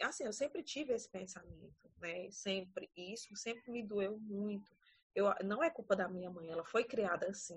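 The pace is moderate and the voice somewhat breathy. Pitch varies in an ordinary way. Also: woman, medium pitch for a woman. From Ceará, Brazil (Paracuru). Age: 30s. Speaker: teacher. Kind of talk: casual chat.

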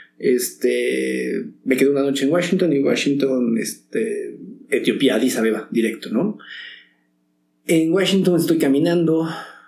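Room echo is audible as a man speaks at a fairly slow pace with very even loudness. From Mexico. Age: 40s. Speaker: actor. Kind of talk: casual interview.

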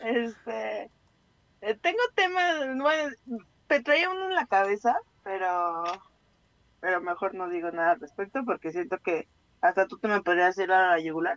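A woman speaks at a fairly slow pace with lively intonation and long, frequent pauses. The sound is dry and close, with no echo. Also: medium pitch for a woman. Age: 30s. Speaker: radio co-host. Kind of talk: casual chat.

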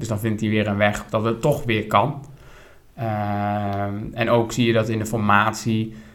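With audible room echo, a man with a fairly low pitch talks at a fairly slow pace in a monotone, flat intonation. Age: 30s. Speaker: podcast co-host. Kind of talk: casual chat about politics.

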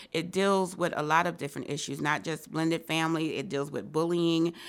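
Fairly low in pitch, a woman with an ordinary speaking voice talks at a fairly quick pace with fairly even intonation, on a very clean recording with a silent background. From Rochester, New York. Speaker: children's book author. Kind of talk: interview.

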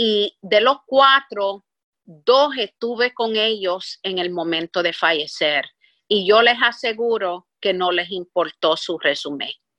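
A bright, sharp voice with an English accent moves at a very slow pace with lively intonation. The sound is dry and close, with no echo. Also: woman, medium pitch for a woman. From Puerto Rico. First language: English (speaking Spanish). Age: 60s. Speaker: business executive. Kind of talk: interview.

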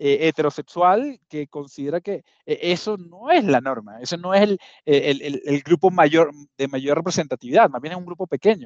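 A man's high-pitched voice at a moderate pace with lively intonation, dry and close with no echo, over a quiet background. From Venezuela. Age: 40s. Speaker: marketing executive. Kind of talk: casual interview. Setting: video call.

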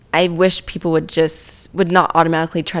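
Speaking at a moderate pace, a woman has a plain, everyday voice, fairly low in pitch. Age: 20s. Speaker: physical therapy assistant. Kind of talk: casual chat.

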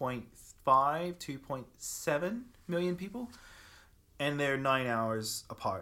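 Fairly slow and fairly high in pitch, a man's bright, sharp tone comes through on a very clean recording with a silent background. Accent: Australian. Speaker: e-commerce company founder. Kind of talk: casual interview chat.

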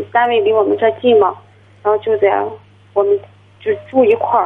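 A woman's fairly high-pitched voice at a moderate pace, with fairly even intonation. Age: 20s. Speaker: caller. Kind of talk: phone-in advice call. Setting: phone call.

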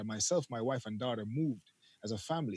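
At a fairly quick pace, a man talks with lively intonation and a medium pitch. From Jamaica. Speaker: YouTube content creator. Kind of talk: casual interview. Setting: remote call from overseas.

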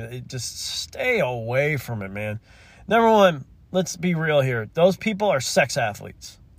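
An angry, somewhat breathy male voice at a fairly slow pace, pitch swinging very widely, on a very clean recording with a silent background. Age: 40s. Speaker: podcast host. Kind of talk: solo podcast monologue, casual rant. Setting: in a car. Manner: rambling, conversational, irritated; angry ranting in 15:01 stretch, exasperated, emphatic, repetitive.

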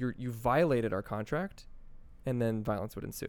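This man has an American accent and talks at a moderate pace. The recording is very clean, with a silent background. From New Jersey. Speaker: tech startup co-founder. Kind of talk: interview conversation.

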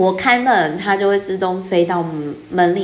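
A woman speaks with a Taiwanese accent amid noticeable background noise and audible room echo. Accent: Taiwanese Mandarin. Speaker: podcaster and book reviewer. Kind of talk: solo book-review monologue.

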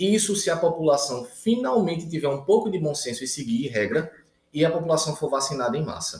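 This man has an unremarkable speaking voice, fairly high in pitch for a man, moving at a fairly quick pace with lively intonation. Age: 30s. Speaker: intensive care physician. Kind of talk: casual interview chat.

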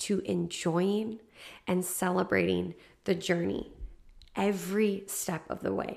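A woman with vocal fry speaks in a warm, upbeat tone on a very clean recording with a silent background. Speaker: podcast host, solo episode. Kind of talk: pep talk. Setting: solo podcast recording. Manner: warm, encouraging, upbeat; animated, emphatic, direct address.

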